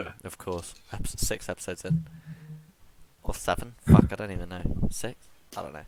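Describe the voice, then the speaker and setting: A soft-spoken man with a very deep, low pitch speaks at a moderate pace with long, frequent pauses, ordinary pitch variation and big swings in loudness. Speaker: podcast host. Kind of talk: casual chat. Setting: video call.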